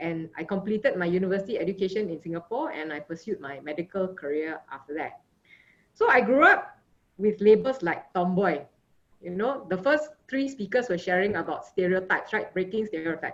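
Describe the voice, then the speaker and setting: A woman speaks with a Malaysian accent at medium pitch. Her pace is fairly quick and her intonation lively. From Malaysia, Johor Bahru. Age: 50s. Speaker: sports physician. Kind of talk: conference talk. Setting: video call.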